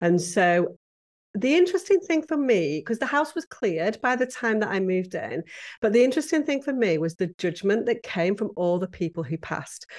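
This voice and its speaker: With a British accent, this speaker talks at a fairly quick pace with very wide pitch swings over a quiet background. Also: woman. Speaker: podcast guest, professional organizer. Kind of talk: conversational, storytelling.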